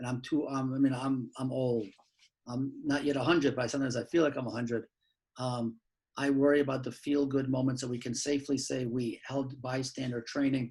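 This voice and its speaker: Flat and monotone, a man talks at a fairly quick pace and a medium pitch. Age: 60s. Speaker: law professor. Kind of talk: panel discussion. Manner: halting.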